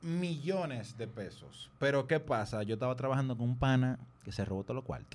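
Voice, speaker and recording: The speaker has a Dominican accent. There are hardly any pauses. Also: man, very clean recording, silent background. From Dominican Republic. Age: 30s. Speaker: music producer. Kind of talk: casual chat.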